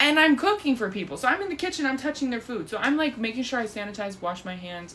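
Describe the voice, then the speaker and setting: With very wide pitch swings, a woman talks fairly quickly as noticeable noise sounds behind her. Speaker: vlogger. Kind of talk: casual monologue. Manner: animated.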